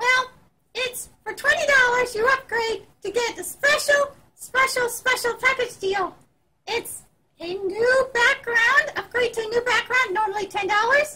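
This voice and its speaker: A woman uses a put-on character voice at an extremely high pitch. She talks at a moderate pace. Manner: chatty, enthusiastic.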